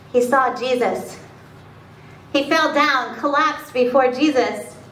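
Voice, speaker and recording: Speaking very slowly in a dramatic tone, a woman uses a high pitch with ordinary pitch variation. Audible room echo and light background noise fill the recording. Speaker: pastor. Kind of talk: spoken word sermon. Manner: dramatic, emphatic retelling with short pleading phrases. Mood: solemn dramatic storytelling. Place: church. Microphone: camera far.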